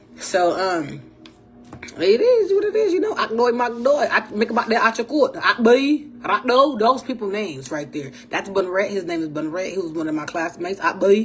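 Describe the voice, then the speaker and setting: A woman's animated tone swings very widely in pitch while noticeable background noise carries on around her. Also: fairly high pitch for a woman, moderate pace. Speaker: podcast host. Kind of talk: casual monologue.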